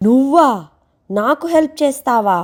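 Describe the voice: A cartoonish character voice that sounds female comes through. Its pitch is high for a woman.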